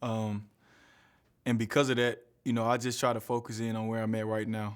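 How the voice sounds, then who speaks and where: In an American accent, a man at medium pitch talks at a moderate pace with fairly even intonation, on a very clean recording with a silent background. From US South, Huntsville, Alabama. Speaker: college basketball player. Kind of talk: press conference interview.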